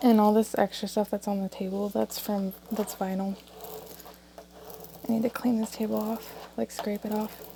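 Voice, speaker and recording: A soft-spoken woman at medium pitch, flat and monotone in intonation, over noticeable background noise. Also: moderate pace. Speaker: crafting tutorial creator. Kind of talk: tutorial. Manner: casual.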